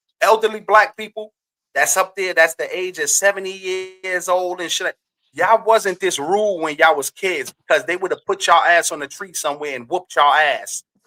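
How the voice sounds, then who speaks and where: A raised, projected voice with a bright, sharp tone, fairly quick pace and ordinary pitch variation, in a dry, close sound with no echo. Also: man, high pitch for a man. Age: young. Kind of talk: casual chat. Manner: animated.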